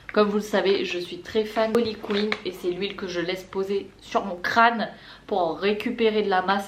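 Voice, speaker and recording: A woman is speaking here. Her pitch is medium and her pace moderate. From La Réunion. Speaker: beauty and lifestyle vlogger. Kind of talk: casual haul vlog. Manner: chatty, enthusiastic.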